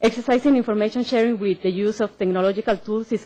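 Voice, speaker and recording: A woman talks at a very fast pace with a strong Mexican accent. Her pitch is fairly high. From Mexico. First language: Spanish. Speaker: government civil protection official. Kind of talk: conference presentation. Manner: hesitant, many fillers.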